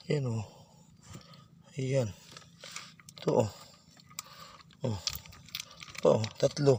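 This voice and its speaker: Noticeable noise sits in the background. Against it, a man talks at a medium pitch. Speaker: vlogger. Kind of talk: casual vlog narration. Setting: outdoors.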